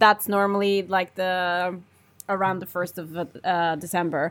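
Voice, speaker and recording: A woman in a Norwegian accent, at a fairly slow pace with ordinary pitch variation. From Norway. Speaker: co-host. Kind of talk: casual chat.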